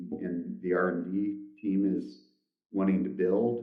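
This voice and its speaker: Audible room echo surrounds the voice. The man speaking has a fairly low pitch. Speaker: company CEO. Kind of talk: interview. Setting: shared office phone booth, video call. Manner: conversational, many fillers.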